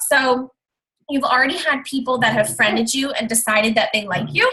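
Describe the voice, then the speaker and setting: A woman's raised, projected voice at a high pitch. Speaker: fitness coach and network marketer. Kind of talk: training presentation in a group call. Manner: hesitant, many ums.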